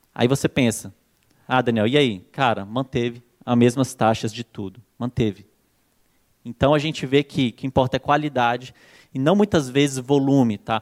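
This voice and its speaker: In a very clean recording with a silent background, a man with a medium pitch speaks at a moderate pace, ordinary pitch variation, and long, frequent pauses. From Brazil, Brasília. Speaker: marketing consultant. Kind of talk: conference talk. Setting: stage with audience. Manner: animated.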